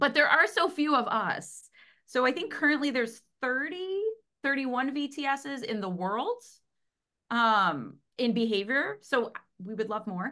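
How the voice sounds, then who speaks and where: A woman with an American accent uses a raised, projected voice in a bright, sharp tone. Her pitch is high and swings very widely. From US Midwest, Cleveland, Ohio. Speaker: veterinary technician and animal behavior consultant. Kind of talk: interview conversation.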